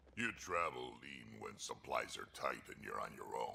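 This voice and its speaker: A man's growling, put-on character voice at a moderate pace. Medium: video game. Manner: blunt, terse.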